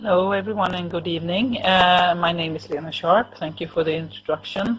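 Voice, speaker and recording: Noticeable background noise sits under a woman's fairly even intonation. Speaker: cancer nurse and researcher. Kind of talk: lecture. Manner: halting.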